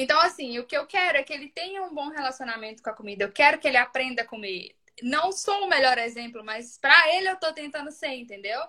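A high-pitched woman talks very fast in a raised, projected voice, barely pausing. Her intonation is lively and her loudness swings a lot. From Brazil, Minas Gerais (Ipatinga). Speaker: mother sharing baby feeding experience. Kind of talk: casual chat.

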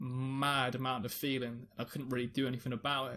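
With a London accent, a man of medium pitch speaks in monotone, flat intonation on a very clean recording with a silent background. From London, England. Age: 20s. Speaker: streamer and music producer. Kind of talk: personal testimony. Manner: halting, repeats words.

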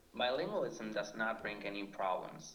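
A man with a Spanish accent speaks at a medium pitch over noticeable background noise. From Argentina. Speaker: PhD student in linguistics. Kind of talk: scripted podcast discussion.

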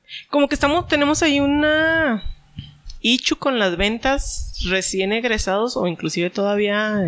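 A man speaks at an extremely high pitch. His tone is bright and sharp, with lively intonation. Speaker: podcast host. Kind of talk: casual chat.

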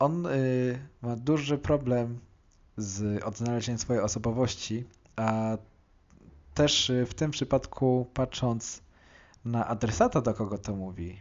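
At a very slow pace with long, frequent pauses, a man speaks at medium pitch with ordinary pitch variation. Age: 20s. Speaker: podcast host discussing music. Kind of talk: monologue song analysis.

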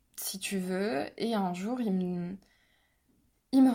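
On a very clean recording with a silent background, a woman's dark, mellow tone sits at a medium pitch with fairly even intonation. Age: 20s. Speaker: abuse survivor. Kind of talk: testimony.

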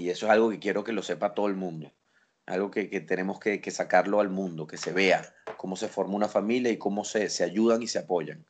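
A man talks fairly quickly and with fairly even intonation, the background quiet. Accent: Venezuelan. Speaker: father. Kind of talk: casual family chat.

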